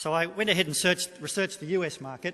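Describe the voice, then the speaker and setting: Talking at a very fast pace, a man with an Australian accent has a high pitch, a bright, sharp tone and ordinary pitch variation. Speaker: economic forecaster. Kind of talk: presentation to business audience. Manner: halting.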